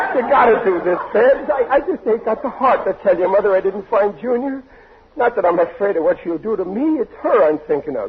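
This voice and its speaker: Against noticeable background noise, a man with a high voice talks at a fairly quick pace with lively intonation. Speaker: radio comedy actor playing a bumbling father. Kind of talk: old-time radio comedy drama. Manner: flustered, pleading, bluster.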